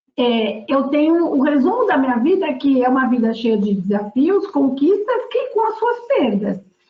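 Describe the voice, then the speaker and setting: Her pitch rises and falls in very wide swings. The woman keeps a fairly slow pace. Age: 60s. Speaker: board member. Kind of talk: panel discussion. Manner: halting.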